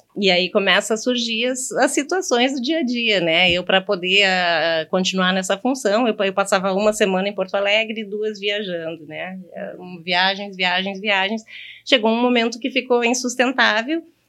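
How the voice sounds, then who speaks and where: With a bright, sharp tone, a woman speaks at a medium pitch and moderate pace, her pitch varying in an ordinary way. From Brazil, interior of Rio Grande do Sul (Horizontina). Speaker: bank manager. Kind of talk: casual chat. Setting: studio.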